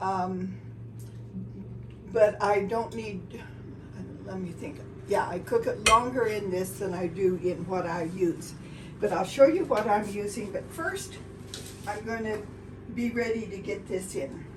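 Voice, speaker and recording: Speech comes at a fairly slow pace with long, frequent pauses, big swings in loudness and ordinary pitch variation. Noticeable background noise and audible room echo are present. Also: woman, medium pitch for a woman. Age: 80s+. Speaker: home baker. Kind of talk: tutorial. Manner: halting.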